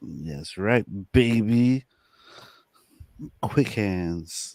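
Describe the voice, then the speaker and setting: A man with a medium-pitched voice speaks with lively intonation. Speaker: crypto investor guest. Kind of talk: casual livestream chat. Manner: slow.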